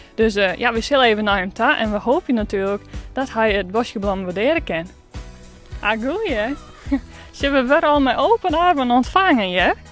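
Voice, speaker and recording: Music plays in the background as a woman talks at a moderate pace. Her fairly high voice moves through very wide pitch swings. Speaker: regional TV reporter. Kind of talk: casual talk to camera.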